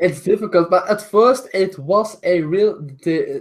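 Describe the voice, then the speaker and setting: A non-native accent at a very slow pace. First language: not English. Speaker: style YouTuber. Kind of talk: interview. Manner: halting.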